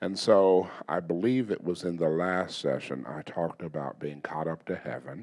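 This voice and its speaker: A man talks at a fairly slow pace, and the background is quiet. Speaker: teacher or preacher. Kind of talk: sermon. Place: hall. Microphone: handheld.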